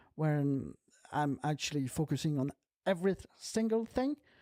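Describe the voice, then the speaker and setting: Dark, mellow tone from a woman at a moderate pace, with lively intonation and a dry, close sound with no echo on a very clean recording with a silent background. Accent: non-native. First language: not English. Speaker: film podcast co-host, actor. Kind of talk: casual chat. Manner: halting, many fillers.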